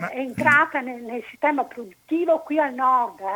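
A woman's raised, projected voice, high in pitch, with lively intonation. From Italy, Padua. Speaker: caller. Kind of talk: phone-in opinion.

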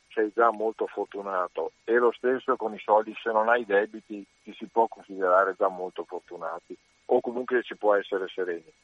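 A man talks at a moderate pace. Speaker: caller. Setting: phone call.

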